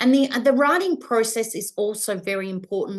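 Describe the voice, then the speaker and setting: A woman speaks in an unremarkable speaking voice. Her pace is moderate and her pitch variation ordinary. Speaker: business coach and publisher. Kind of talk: webinar masterclass presentation.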